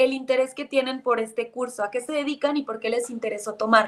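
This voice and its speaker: A woman with a high voice talks at a moderate speed, keeping her intonation fairly even. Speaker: psychologist and course instructor. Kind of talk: online course lecture.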